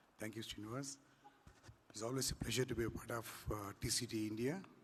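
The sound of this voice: A hoarse, put-on character voice from a man at medium pitch, moving at a fairly quick pace.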